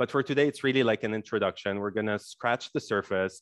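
A man is heard in a dry sound with no echo and a quiet background. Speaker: yoga teacher. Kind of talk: workshop lecture. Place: home room. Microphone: headset.

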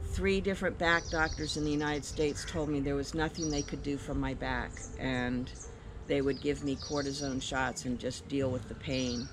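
A woman's very deep, low voice with fairly even intonation, over noticeable background noise. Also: moderate pace. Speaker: guest. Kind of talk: testimonial interview answer. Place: garden.

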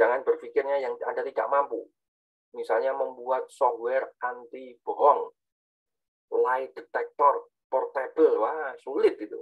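In a quiet background, a man talks at a fairly slow pace. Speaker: university lecturer. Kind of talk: lecture. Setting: video call. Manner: halting. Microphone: video call.

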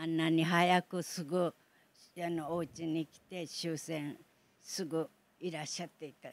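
A woman with an Okinawan accent speaks at a fairly low pitch and fairly slow pace, her intonation monotone and flat while her loudness swings greatly. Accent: Okinawan Japanese. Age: 80s+. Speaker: Battle of Okinawa survivor. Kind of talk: interview answer.

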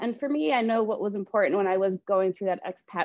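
Her pitch moves in an ordinary way as a woman talks. Little can be heard behind her. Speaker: real estate agent hosting a webinar. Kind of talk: presentation. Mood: friendly, upbeat. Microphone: video call.

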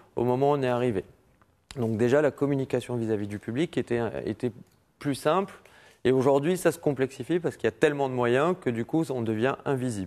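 Speaking at a fairly quick pace with long, frequent pauses, a man with a medium-pitched voice shows ordinary pitch variation. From Morocco, Casablanca. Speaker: music festival president; interview guest. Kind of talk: TV interview. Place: studio. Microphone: lapel.

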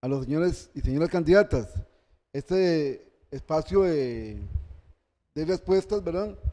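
Long, frequent pauses break up a man's fairly slow speech in a dark, mellow tone. His pitch sits fairly high, with ordinary variation. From Costa Rica. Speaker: electoral tribunal moderator; event moderator. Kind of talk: event moderation. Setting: university centre hall, live-streamed. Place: classroom. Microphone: handheld.

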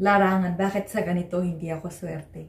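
A woman's somewhat breathy voice at a moderate pace, fairly even in intonation, with audible room echo. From Philippines. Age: 20s. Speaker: vlogger. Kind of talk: vlog monologue; casual vlog chat. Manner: hesitant, many fillers. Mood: reflective, personal. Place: home room. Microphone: phone near.

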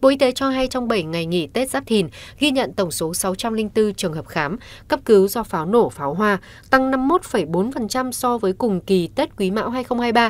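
On a very clean recording with a silent background, a woman speaks in a plain, everyday voice at a fairly high pitch and fairly slow pace with lively intonation. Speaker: news presenter. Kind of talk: news reading. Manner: formal.

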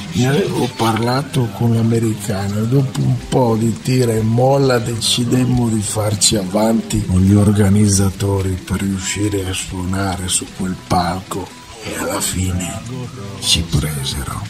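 A man speaks at a fairly slow pace in a fairly low pitch, with ordinary pitch variation and music playing in the background. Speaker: narrator. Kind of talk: audiobook-style novel narration.

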